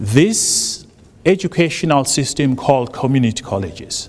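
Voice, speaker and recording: Against noticeable background noise, a man with a fairly high pitch and a slight South African accent speaks fairly slowly. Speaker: college administrator, job candidate. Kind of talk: public forum speech. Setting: public forum with audience. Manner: halting, many fillers.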